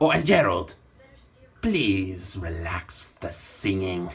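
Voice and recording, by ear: Using a put-on character voice, a man speaks with a very deep, low pitch. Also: fairly slow pace.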